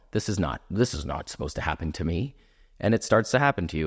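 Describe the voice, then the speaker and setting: A man's ordinary speaking voice, fairly low in pitch and fairly quick, in a very clean recording with a silent background. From Canada. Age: 40s. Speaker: entertainer and actor. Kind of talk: podcast interview.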